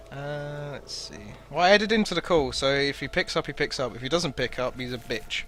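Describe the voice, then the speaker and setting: A man talks at a fairly quick pace in a fairly high voice, his intonation lively. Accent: British. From Britain. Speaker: game streamer. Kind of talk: casual chat. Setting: voice call while streaming.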